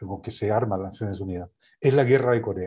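The voice is somewhat breathy with a dark, mellow tone and ordinary pitch variation. It moves at a moderate pace against a quiet background. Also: man. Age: 70s. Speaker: sociologist and UN official. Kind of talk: political analysis discussion.

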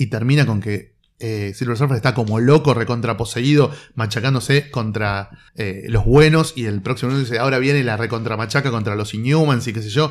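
In a very clean recording with a silent background, a man talks fairly quickly at medium pitch with ordinary pitch variation. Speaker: comics critic. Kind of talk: casual chat.

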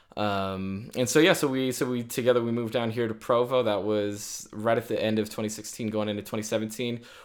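A man with an American accent speaks in a normal speaking voice at a medium pitch and a moderate pace, with fairly even intonation and hardly any pauses. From Virginia. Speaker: podcast co-host. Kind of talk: casual chat.

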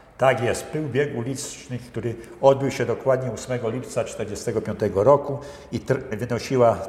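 Speaking very slowly, a man keeps his intonation fairly even. He is pitched in the medium range. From central Poland, Bełchatów area. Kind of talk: interview.

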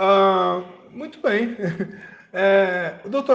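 Speaking with a Brazilian accent, a man uses a high pitch. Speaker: podcast host reading a medical article. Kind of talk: reading aloud with commentary. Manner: halting, with filler words.

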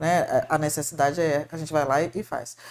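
A woman speaking at a moderate pace. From Paraná, southern Brazil. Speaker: shopping mall marketing manager. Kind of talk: podcast interview.

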